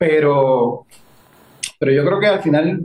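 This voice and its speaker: Lively intonation marks this man's fairly high voice. He talks at a fairly slow pace with a Puerto Rican accent. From Puerto Rico, Guayanilla. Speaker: actor and director. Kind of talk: interview.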